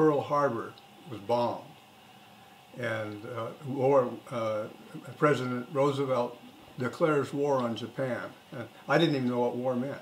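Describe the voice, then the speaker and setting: Against noticeable background noise and audible room echo, a man speaks at a fairly slow pace with fairly even intonation. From Oregon, US Pacific Northwest. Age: 70s. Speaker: grandfather interviewed for school project. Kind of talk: casual interview. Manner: halting, frequent fillers.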